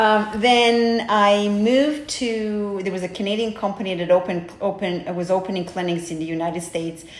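A woman with a Serbian accent speaks at a moderate pace and medium pitch, with fairly even intonation. Noticeable background noise is present. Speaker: hair transplant coordinator. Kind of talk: interview.

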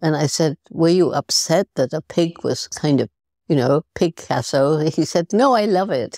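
A woman's very deep, low pitch with a dark, mellow tone and lively intonation, at a fairly slow pace, in a dry, close sound with no echo and a very clean recording over a silent background. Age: 80s+. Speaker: primatologist and conservationist. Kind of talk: podcast interview answer.

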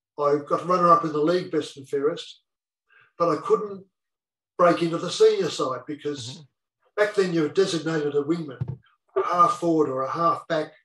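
Bright and sharp in tone, the voice carries an Australian accent at a moderate pace. Its loudness swings widely. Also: man, high pitch for a man, fairly even intonation. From northeast Victoria, Australia (Wodonga). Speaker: retired footballer. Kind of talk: interview storytelling.

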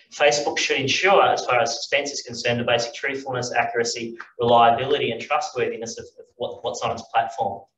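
A man with an Australian accent at a very fast pace, hardly any pauses and big swings in loudness, with audible room echo and light background noise. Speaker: philosophy professor and panel moderator; philosophy professor, panel moderator. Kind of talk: conference talk. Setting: stage with audience. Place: hall. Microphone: camera far.

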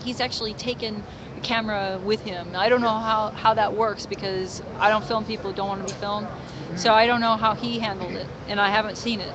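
A woman at a moderate pace with fairly even intonation, dry sound with no echo, and noticeable background noise. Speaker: street show host. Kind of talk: casual interview chat. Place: street. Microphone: phone near.

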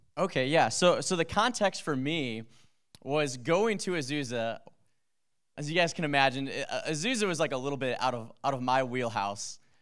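Against a quiet background, a man talks at a moderate pace with a fairly high pitch. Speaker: pastor. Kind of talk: testimony. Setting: church. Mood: earnest, emotional. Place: church. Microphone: handheld.

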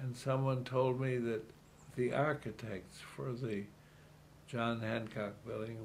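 A man speaks with an American accent and fairly even intonation. Light background noise sits behind him. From US Midwest, Chicago. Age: 80s+. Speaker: retired city politician. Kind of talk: elderly man reminiscing about a century of change in an interview. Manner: halting, repeating words as he gathers his thoughts; quietly marveling, earnest wonder. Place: home room.

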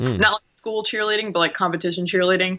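A woman is speaking. The background is quiet. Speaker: podcast guest. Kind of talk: interview answer. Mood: relaxed, friendly. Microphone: video call.

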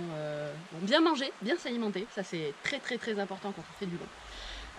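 A woman at medium pitch talks at a moderate pace, with noticeable background noise behind her. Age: 30s. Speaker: amateur trail runner. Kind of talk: interview. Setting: outdoors. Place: forest.

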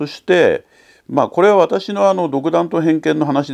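The voice has a dark, mellow tone and very wide pitch swings. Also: man, quiet background. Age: 60s. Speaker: audio hobbyist YouTuber. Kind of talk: casual product talk to camera. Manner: halting, with many fillers. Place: home room.

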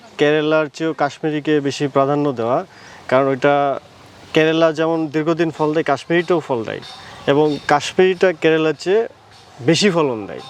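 Noticeable background noise beneath a man's fairly high voice. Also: fairly even intonation. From Natore, Bangladesh. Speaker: bean farmer. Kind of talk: interview. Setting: outdoors in a crop field.

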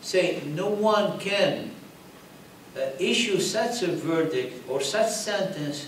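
A man speaks at a high pitch with ordinary pitch variation, with audible room echo and light background noise. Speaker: religious teacher. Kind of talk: lecture. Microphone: podium.

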